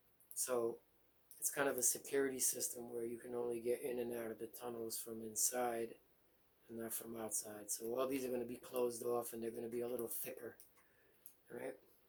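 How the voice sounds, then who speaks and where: A man of medium pitch talks fairly quickly in a monotone, flat way against noticeable background noise. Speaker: gaming video creator. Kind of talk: game walkthrough narration. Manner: casual, halting with fillers; mumbling.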